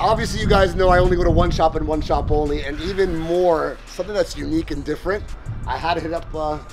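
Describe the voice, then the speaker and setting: The pace is very fast. Clear music plays in the background. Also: man. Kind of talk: casual vlog chat. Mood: cheerful, laughing. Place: garden.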